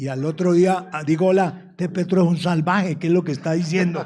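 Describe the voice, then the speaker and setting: A man speaks in a high, dark and mellow voice with ordinary pitch variation. The recording is very clean, with a silent background. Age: 70s. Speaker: businessman. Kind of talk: panel discussion. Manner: animated, repetitive.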